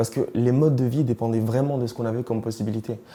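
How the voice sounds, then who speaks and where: The man speaks at a very fast pace with a medium pitch. His intonation stays fairly even. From East and Central Africa. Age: 20s. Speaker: interviewee sharing life story. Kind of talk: interview testimony. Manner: hesitant, with many fillers.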